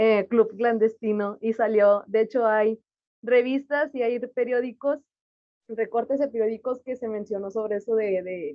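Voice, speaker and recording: At a fairly slow pace, a woman with fairly high pitch speaks with fairly even intonation. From Mexico. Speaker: audience participant. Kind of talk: Q&A comment.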